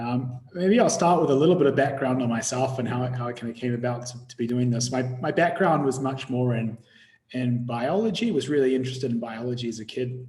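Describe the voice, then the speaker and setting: At a fairly quick pace, a man with a New Zealand accent speaks at a medium pitch with ordinary pitch variation. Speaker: tech company CEO and bioinformatician. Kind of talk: webinar presentation. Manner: halting, repeats words.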